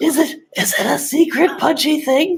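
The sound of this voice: This put-on character voice is high and raspy, delivered at a moderate pace.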